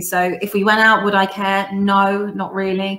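A woman with an English accent talks at a medium pitch. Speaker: football fan panelist. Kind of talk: casual chat. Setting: video call.

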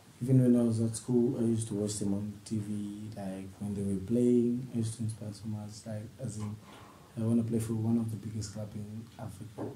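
A man at a fairly quick pace in a monotone, flat intonation, with audible room echo and light background noise. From Zambia. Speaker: professional footballer; interviewee. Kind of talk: interview. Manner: halting. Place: home room.

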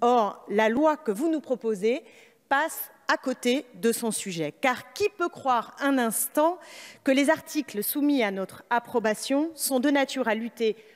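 A woman speaks in a high voice at a very slow pace against a quiet background. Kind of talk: parliamentary speech. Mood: critical, combative. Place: hall. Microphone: podium.

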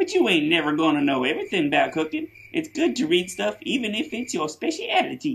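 A cartoonish character voice runs at a fairly quick pace and fairly high pitch with hardly any pauses.

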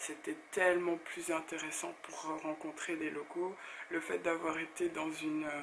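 Monotone, flat delivery from a woman with a fairly low pitch. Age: 30s. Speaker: blogger and YouTuber. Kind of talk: casual talk to camera.

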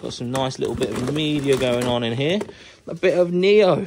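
Someone speaks at a moderate pace. Noticeable background noise runs underneath. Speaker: reseller. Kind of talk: casual vlog chat. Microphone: phone near.

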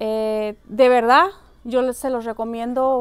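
A woman speaks at a very slow pace in a high voice. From Mexico. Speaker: photographer. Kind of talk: testimonial. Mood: warm, enthusiastic recommendation. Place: hall.

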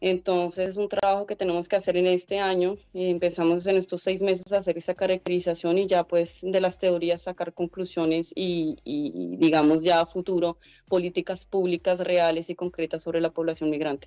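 A woman speaks at a moderate pace with hardly any pauses, her pitch fairly low and her tone dark and mellow. Her intonation stays monotone and flat over a quiet background. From Colombia. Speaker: head of a migrant support organization. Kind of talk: radio interview. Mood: calm, earnest. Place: home room. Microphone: video call.

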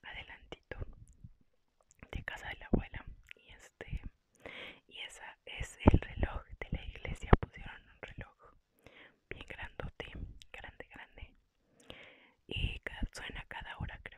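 The speaker whispers at a fairly slow pace, broken by long, frequent pauses. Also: woman. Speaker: ASMR creator. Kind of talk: casual talk to camera. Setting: home recording with headset microphone. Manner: soft-spoken, whispered. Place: home room. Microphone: earbuds.

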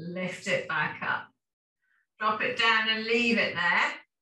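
Speaking at a fairly slow pace, a woman with a fairly high pitch and a bright, sharp tone shows ordinary pitch variation, with room echo audible. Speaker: fitness instructor. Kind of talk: guided exercise class. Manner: calm, rhythmic, steady cueing; instructional, repetitive commands. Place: home room. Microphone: camera far.

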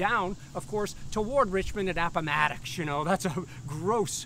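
A man speaks at a moderate pace with lively intonation and a bright, sharp tone. Light background noise sits under a dry sound with no echo. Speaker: historian guide. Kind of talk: lecture. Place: open country. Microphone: lapel.

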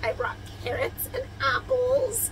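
There is light background noise as a woman talks. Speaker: travel vlogger. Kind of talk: casual vlog chat. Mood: cheerful, excited. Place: home room. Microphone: phone near.

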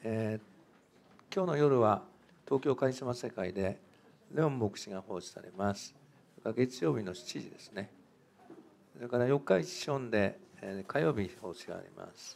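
With lively intonation and long, frequent pauses, a man speaks against light background noise. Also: moderate pace, big swings in loudness. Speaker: pastor; church announcer. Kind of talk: church service announcements. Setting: church. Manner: formal. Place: church.

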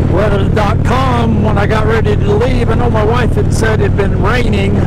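A man speaks with loud noise in the background. The sound is dry, with no echo. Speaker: motorcycle vlogger. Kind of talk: casual vlog chat. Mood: mildly annoyed storytelling. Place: motorbike. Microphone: helmet.

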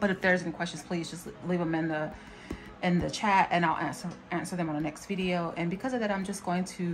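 A woman's fairly low-pitched, very fast speech with fairly even intonation over clear music in the background. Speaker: planner vlogger. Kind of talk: casual vlog chat. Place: home room. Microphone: phone near.

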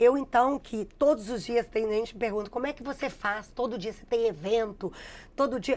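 Speaking at a moderate pace, a woman with a fairly high voice shows ordinary pitch variation and big swings in loudness. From Minas Gerais, Brazil (Contagem, near Belo Horizonte). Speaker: digital influencer and math teacher. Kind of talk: interview. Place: studio. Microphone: lapel.

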